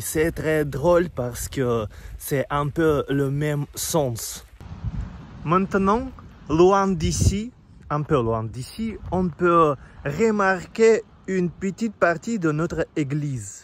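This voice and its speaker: With a Russian accent, a man speaks at a very slow pace, leaving long, frequent pauses. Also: fairly high pitch for a man, lively intonation. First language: Russian (speaking French). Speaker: vlogger. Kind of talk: casual walking vlog. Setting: outdoors, walking. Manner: halting, with hesitations.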